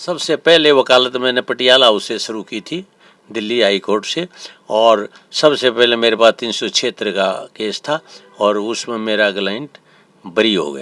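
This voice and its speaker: Dry and close with no echo, a man's bright, sharp voice shows lively intonation and big swings in loudness. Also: medium pitch for a man. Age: 70s. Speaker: senior lawyer, army veteran. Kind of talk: interview. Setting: lawyer's chamber at court.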